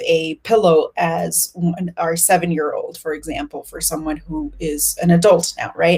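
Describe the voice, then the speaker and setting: Over noticeable background noise, a woman speaks at a moderate pace with a fairly low pitch. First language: Spanish. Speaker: family constellations facilitator. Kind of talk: casual chat.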